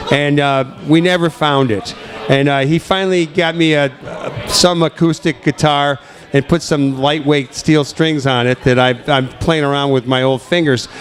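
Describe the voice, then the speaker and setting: Against noticeable background noise, a man with a fairly high pitch speaks in an American accent. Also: fairly even intonation, moderate pace. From Connecticut. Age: old. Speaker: radio show host. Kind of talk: casual interview chat.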